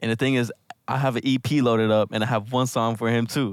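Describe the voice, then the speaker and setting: A man talks in an unremarkable speaking voice at medium pitch. His pace is fairly quick and his intonation fairly even. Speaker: podcast host. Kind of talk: casual chat.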